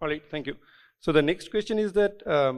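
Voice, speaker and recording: A man with an ordinary speaking voice, fairly high in pitch, with lively intonation. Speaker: event moderator. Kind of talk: moderated Q&A session.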